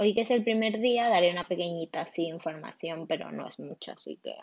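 Ordinary pitch variation in a woman's speech. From Spain, Barcelona. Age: 20s. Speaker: podcaster. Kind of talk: casual monologue. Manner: halting.

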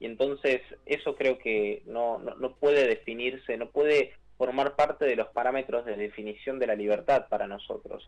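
With a plain, everyday voice, a man talks at a medium pitch and a moderate pace using fairly even intonation. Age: 20s. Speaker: youth climate activist. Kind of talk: radio interview.

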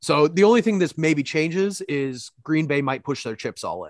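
In a normal speaking voice, a man talks at a moderate pace with fairly high pitch and lively intonation. The sound is dry and close with no echo, against a quiet background. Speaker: podcast co-host. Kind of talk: casual banter and interview.

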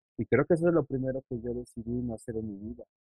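Speaking fairly quickly, a man has a plain, everyday voice at a medium pitch with ordinary pitch variation. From Mexico City, northern outskirts. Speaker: illustrator. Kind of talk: casual interview. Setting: video call.

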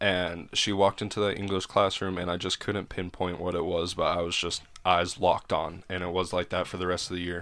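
On a very clean recording with a silent background, a man with a very deep, low pitch speaks in a monotone, flat intonation at a fairly quick pace, with hardly any pauses. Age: 20s. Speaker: podcast guest. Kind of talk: casual chat.

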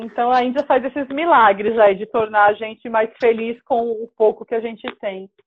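This woman has a normal speaking voice, fairly high in pitch, with fairly even intonation, a moderate pace and hardly any pauses. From São Paulo coast, Brazil (Praia Grande). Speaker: solo traveler and women's travel group organizer. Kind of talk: casual interview chat.

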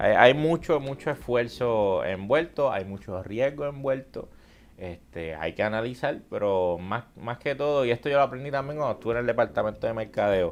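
It's a normal speaking voice with lively intonation at a moderate pace. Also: man, medium pitch for a man. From Puerto Rico, Aguadilla. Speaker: content creator and entrepreneur. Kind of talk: casual interview. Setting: live stream studio with audience.

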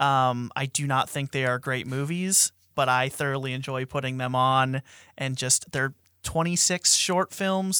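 This man has a fairly high, bright, sharp voice with fairly even intonation, speaking at a moderate pace in a dry, close sound with no echo on a very clean recording with a silent background. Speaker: film discussion panelist. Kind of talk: casual chat. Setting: studio.

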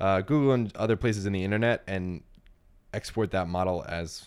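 Speaking at a fairly quick pace, a man talks with an American accent. The recording is very clean, with a silent background. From Central Texas, New Braunfels. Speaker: designer and video creator. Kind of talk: casual chat.

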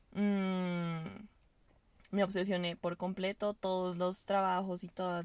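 A woman speaks at a fairly low pitch in a monotone, flat way. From Venezuela. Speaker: university student. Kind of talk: casual chat. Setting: in a car.

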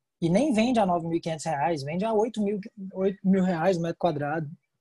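With a Brazilian accent, a man talks at a moderate pace in a high pitch, with a dark, mellow tone and ordinary pitch variation. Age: 20s. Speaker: real estate agent. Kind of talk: interview.

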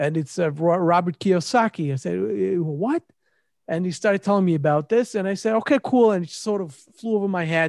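In a dry, close recording with no echo and a quiet background, a man with a high pitch speaks with lively intonation. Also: fairly quick pace. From Israel. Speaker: real estate entrepreneur. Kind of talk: interview. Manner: halting.

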